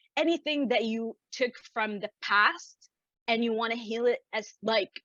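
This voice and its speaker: A woman speaks at a moderate pace in a fairly high pitch with a bright, sharp tone, ordinary pitch variation, and a dry, close sound with no echo. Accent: Arabic. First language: Arabic. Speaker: business coach. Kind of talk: interview.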